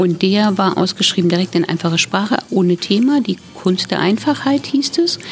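A woman speaks at a moderate pace with hardly any pauses, her medium-pitched voice showing lively intonation at very even loudness. Noticeable background noise sits behind her. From Thuringia, Germany. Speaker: author. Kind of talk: casual chat.

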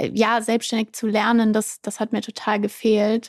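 A woman speaks at a fairly slow pace in a fairly high pitch, with a dry, close sound and no echo. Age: 20s. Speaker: entrepreneur, influencer marketing agency founder. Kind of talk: casual interview.

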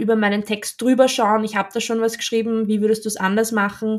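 The woman has a fairly high pitch and speaks with an Austrian accent. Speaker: copywriter. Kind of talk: interview conversation. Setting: video call.

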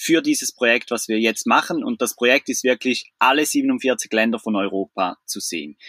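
The voice has a bright, sharp tone and lively intonation at a fairly quick pace. The sound is dry and close with no echo. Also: man. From Switzerland. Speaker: traveller, van-life couple. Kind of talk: casual interview.

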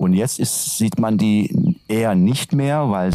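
In a Turkish accent, a man speaks at a fairly slow pace with a fairly low pitch. His pitch swings very widely, against noticeable background noise. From Turkey, Antalya region. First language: Turkish (speaking German). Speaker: teacher. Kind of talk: interview. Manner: hesitant, many fillers.

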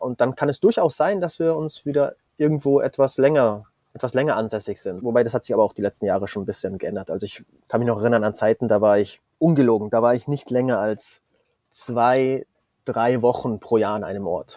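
A man talks at a fairly quick pace in a dark, mellow tone with a medium pitch. His pitch varies in an ordinary way, and the sound is dry and close with no echo. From Bavaria, Munich. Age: 30s. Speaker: online entrepreneur. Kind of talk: interview conversation. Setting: remote call from a catamaran in the Caribbean.

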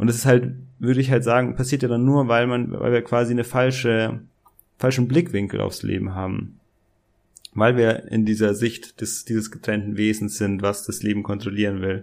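Using an ordinary speaking voice, a man talks at a moderate pace with fairly even intonation. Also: medium pitch for a man. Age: 20s. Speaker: business coach. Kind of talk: casual interview.

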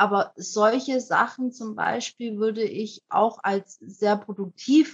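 An ordinary speaking voice with fairly even intonation and a dry, close sound with no echo. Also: woman. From Germany. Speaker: anti-racism activist, young mother. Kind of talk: interview conversation.

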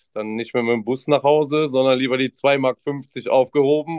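In an ordinary speaking voice, a man talks at a moderate pace with fairly high pitch and fairly even intonation, the sound dry and close with no echo. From Mönchengladbach, western Germany. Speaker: trading card shop employee. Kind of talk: casual chat.

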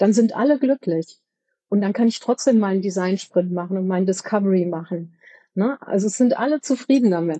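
Woman's voice at medium pitch, dark and mellow in tone, fairly quick in pace, with ordinary pitch variation. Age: 50s. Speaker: company board member for products. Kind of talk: interview.

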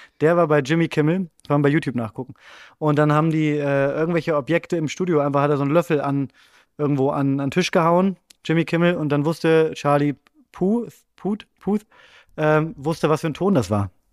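A man with a fairly high pitch uses an ordinary speaking voice with ordinary pitch variation. The recording is very clean with a silent background, the sound dry and close with no echo. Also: fairly quick pace. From Bremen, northern Germany. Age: 30s. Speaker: comedy writer. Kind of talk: casual chat.

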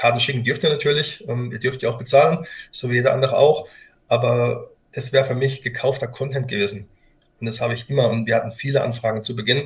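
This man talks at a very fast pace with a medium pitch and fairly even intonation. His voice is somewhat breathy. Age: 40s. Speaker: company founder and CEO. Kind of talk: interview. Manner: halting.

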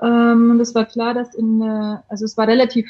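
A woman speaks at a fairly quick pace. Her voice is fairly high-pitched. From Bavaria, Germany. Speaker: coach. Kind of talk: casual chat.

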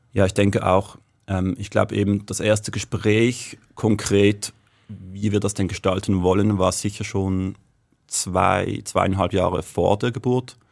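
Monotone and flat, a man speaks at a fairly slow pace in a very clean recording with a silent background. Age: 30s. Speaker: guest, new father. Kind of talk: casual chat. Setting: studio. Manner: hesitant, many fillers.

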